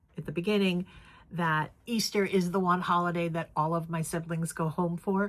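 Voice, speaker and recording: A woman's plain, everyday voice with an American accent, fairly low in pitch, at a moderate pace with fairly even intonation. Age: 60s. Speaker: crafting vlogger. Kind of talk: casual vlog chat. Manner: casual, filler-heavy.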